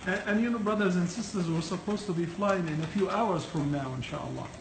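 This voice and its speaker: Over noticeable background noise, a man speaks at a fairly quick pace with a high pitch. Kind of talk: casual vlog chat. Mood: playful, laughing. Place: kitchen. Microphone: phone near.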